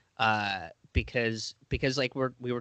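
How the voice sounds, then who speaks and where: Against a quiet background, the speech runs at a fairly quick pace with a dry, close sound and no echo. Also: man. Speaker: stand-up comedian. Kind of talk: casual chat. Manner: calm.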